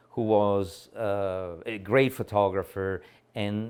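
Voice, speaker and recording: Fairly low in pitch, a man speaks at a fairly slow pace. The recording is very clean, with a silent background. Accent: strong Italian. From Italy. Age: old. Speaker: photographer. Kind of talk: documentary interview answer. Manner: candid, conversational.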